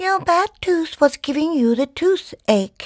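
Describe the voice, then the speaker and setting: A squeaky, high-pitched put-on character voice delivers its lines at a fairly slow pace. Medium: read story.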